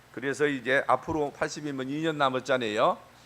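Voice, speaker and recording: A man speaks with a bright, sharp tone. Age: 70s. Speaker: pastor. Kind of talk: sermon. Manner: halting, many fillers.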